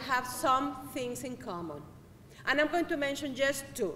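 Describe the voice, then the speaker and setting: A high-pitched woman's voice in a Spanish accent, with noticeable background noise. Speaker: public health worker. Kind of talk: speech to student assembly.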